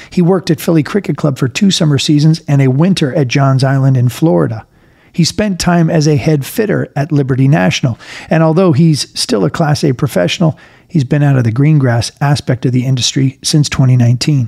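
A somewhat breathy man with a dark, mellow tone, a fairly high pitch, ordinary pitch variation and a fairly quick pace. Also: very even loudness. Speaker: podcast host. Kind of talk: podcast narration and interview.

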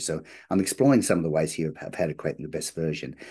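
With an Australian accent, a man speaks in a very deep, low pitch and a dark, mellow tone. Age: 50s. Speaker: business strategy consultant. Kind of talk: interview conversation. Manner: halting, many fillers.

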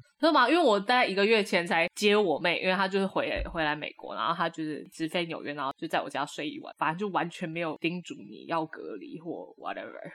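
A woman with an ordinary speaking voice, lively intonation, big swings in loudness and hardly any pauses. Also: medium pitch for a woman, fairly quick pace. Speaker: podcast co-host. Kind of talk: casual chat.

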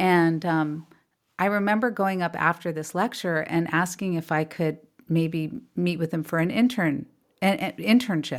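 On a very clean recording with a silent background, a woman with an American accent speaks in a plain, everyday voice, at a fairly low pitch with ordinary pitch variation. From California. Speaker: artist and author. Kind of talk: casual interview.

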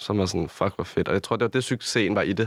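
On a very clean recording with a silent background, a man with a fairly low pitch speaks at a very fast pace, the sound dry and close with no echo. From Copenhagen area, Denmark. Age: 20s. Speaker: influencer and nightclub promoter. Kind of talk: casual interview.

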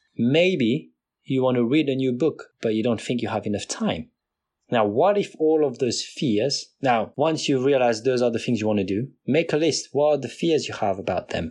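With a non-native accent, a man talks at medium pitch and a moderate pace, his intonation lively. The background is quiet. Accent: non-native accent, noticeable. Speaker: podcast host. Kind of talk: solo motivational talk. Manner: motivational, direct.

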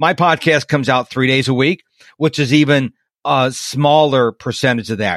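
A man with a plain, everyday voice, fairly high pitch, and a moderate pace, in a dry, close sound with no echo. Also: very clean recording, silent background. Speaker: podcast host; former radio DJ. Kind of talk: casual interview.

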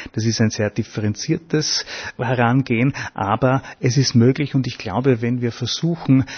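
A man with a medium-pitched, somewhat breathy voice speaks at a moderate pace with fairly even intonation. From Upper Austria. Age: 60s. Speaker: festival organizer. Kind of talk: interview.

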